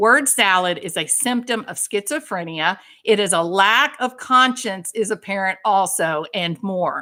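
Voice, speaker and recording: A bright, sharp, animated voice in a Texan accent, with lively intonation, a fairly slow pace and hardly any pauses, on a very clean recording with a silent background. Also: woman, medium pitch for a woman. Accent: Texan Southern US. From US South, Texas. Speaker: livestream host, licensed clinician. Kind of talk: heated livestream chat.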